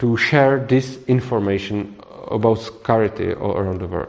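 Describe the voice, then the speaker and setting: Over noticeable background noise, a man with a Czech accent speaks at a moderate pace with lively intonation. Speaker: libertarian author leading a discussion course. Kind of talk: group discussion. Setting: room with small audience, recorded. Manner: halting.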